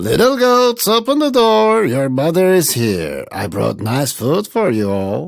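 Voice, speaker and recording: A man does a put-on character voice, high-pitched and fairly slow with hardly any pauses, on a very clean recording with a silent background. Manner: deceptively sweet, coaxing.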